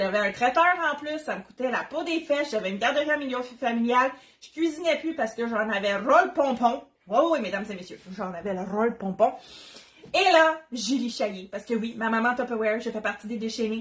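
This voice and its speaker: A woman with a Quebec accent, fairly high-pitched and fairly quick, animated in tone with lively intonation and big swings in loudness, over noticeable background noise. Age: 30s. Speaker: Tupperware consultant, cooking demo host. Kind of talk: live cooking demo. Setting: livestream from home kitchen.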